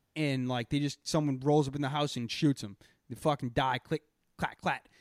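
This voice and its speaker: A man with a Boston accent speaks at a fairly high pitch. The sound is dry and close with no echo, on a very clean recording with a silent background. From Boston area. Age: 20s. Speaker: comedy podcast host. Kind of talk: casual chat. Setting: live stream. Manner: animated.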